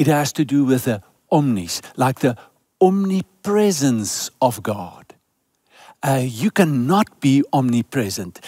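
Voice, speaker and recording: Against a quiet background, a man with a dark, mellow tone speaks fairly slowly with very wide pitch swings, the sound dry with no echo. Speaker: preacher. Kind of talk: sermon. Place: stage. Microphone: headset.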